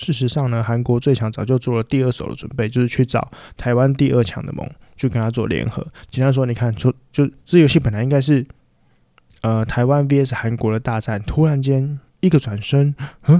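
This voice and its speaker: A man with a Taiwanese accent talks at a fairly quick pace and medium pitch, with fairly even intonation. His tone is dark and mellow, on a very clean recording with a silent background. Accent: Taiwanese Mandarin. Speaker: podcast host. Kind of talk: solo casual monologue. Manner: hesitant, many filler words.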